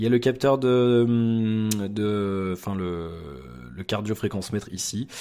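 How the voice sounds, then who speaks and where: A man speaks with a fairly low pitch and a dark, mellow tone. His pitch varies in an ordinary way. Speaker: tech reviewer. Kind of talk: product review. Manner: fast; animated.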